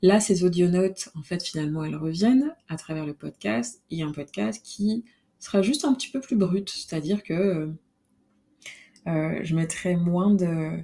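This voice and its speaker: Speaking at a fairly slow pace, a woman with a dark, mellow tone and fairly low pitch uses lively intonation. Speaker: podcast host. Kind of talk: solo podcast monologue. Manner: hesitant, many fillers.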